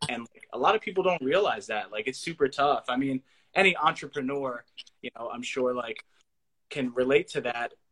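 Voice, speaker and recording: A man's fairly high, bright and sharp voice shows ordinary pitch variation and big swings in loudness, with a dry, close sound and no echo. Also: moderate pace. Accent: American. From Pennsylvania, Lebanon area. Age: 20s. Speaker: podcast host. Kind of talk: casual chat. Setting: livestream.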